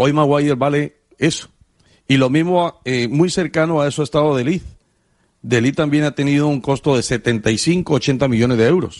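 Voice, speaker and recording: A man with an ordinary speaking voice talks at a moderate pace and a fairly high pitch, with ordinary pitch variation, very even loudness and a quiet background. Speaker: sports radio co-host. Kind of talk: sports talk radio.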